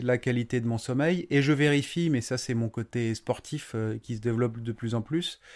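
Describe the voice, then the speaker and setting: Fairly slow speech from a man at medium pitch, ordinary pitch variation, very clean recording with a silent background. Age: 40s. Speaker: building contractor. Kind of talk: interview. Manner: halting.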